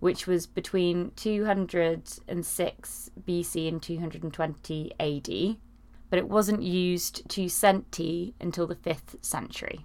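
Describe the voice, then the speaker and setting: In an English accent, a woman talks with a fairly low voice. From UK. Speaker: podcast host. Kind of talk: casual chat.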